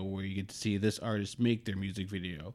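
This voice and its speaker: An unremarkable speaking voice from a man with a fairly low pitch, at a fairly quick pace with ordinary pitch variation. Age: 30s. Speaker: podcast co-host. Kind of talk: casual chat.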